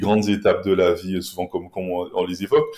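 A man's fairly low voice, dark and mellow in tone, on a very clean recording with a silent background. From Caribbean. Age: 30s. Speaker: podcast guest. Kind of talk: interview. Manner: halting.

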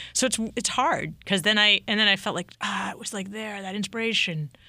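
Speaking at a fairly quick pace, a woman with an American accent has a bright, sharp tone and lively intonation in a very clean recording with a silent background. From Massachusetts, New England. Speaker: TV music show producer and painter. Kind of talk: casual interview chat. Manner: halting, many fillers.

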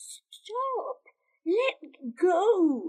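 Wheezy and extremely high, this is a put-on character voice. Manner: wheezing, desperate.

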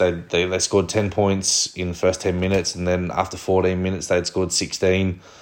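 The speaker talks at a fairly quick pace with an Australian accent. The intonation is monotone and flat. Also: man. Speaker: rugby league fan podcast host. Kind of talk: solo sports review commentary. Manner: flat tone; hesitant, many fillers.

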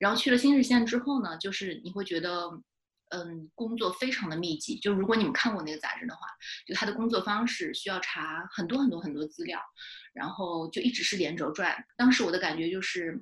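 With a normal speaking voice, a woman talks at a fairly quick pace, her medium pitch carried by lively intonation. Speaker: fiction writer. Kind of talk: casual interview chat.

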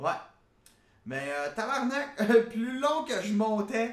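An animated man with a Quebec accent amid noticeable background noise and audible room echo. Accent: Québécois French. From Quebec, Gatineau. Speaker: podcast host. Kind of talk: casual comedic monologue.

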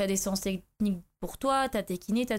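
This woman has a plain, everyday voice, pitched in the medium range, with ordinary pitch variation. She talks at a fairly quick pace on a very clean recording with a silent background. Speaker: former judo athlete turning to MMA. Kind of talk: casual interview.

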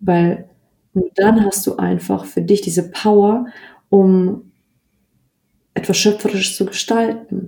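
A woman speaks at a very slow pace with long, frequent pauses, her medium-pitched voice somewhat breathy. Her tone is dark and mellow, her intonation monotone and flat. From Bavaria, Germany. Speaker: astrologer. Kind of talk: interview. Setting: video call.

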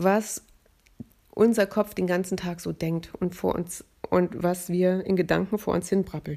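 Very slowly, a woman speaks in a dark, mellow tone with fairly even intonation. The recording is very clean and the background silent. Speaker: podcast host, voice-over artist and author. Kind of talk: casual monologue.

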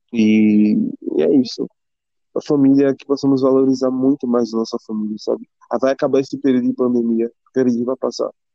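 With an ordinary speaking voice, a man talks at a fairly quick pace at a medium pitch, his intonation fairly even while his loudness swings widely. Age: 20s. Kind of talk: casual faith conversation.

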